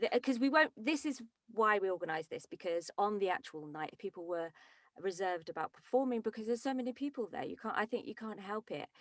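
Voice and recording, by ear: A woman speaks at a medium pitch and a fairly quick pace. Her intonation is lively, and the sound is dry and close with no echo.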